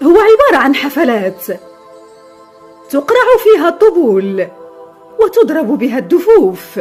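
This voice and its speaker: With music in the background, a woman speaks at a high pitch with very wide pitch swings, at a very slow pace broken by long, frequent pauses. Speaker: voice-over artist. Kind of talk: documentary narration.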